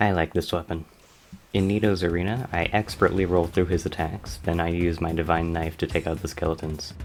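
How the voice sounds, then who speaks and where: Over music in the background, a man with a very deep, low pitch talks fairly quickly in a flat monotone. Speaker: gaming video creator. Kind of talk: scripted gameplay commentary voiceover. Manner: stutter.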